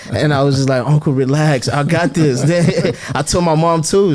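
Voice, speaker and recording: With a plain, everyday voice, a man speaks at a moderate pace with ordinary pitch variation. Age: 20s. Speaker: sports entrepreneur and student. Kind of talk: podcast interview.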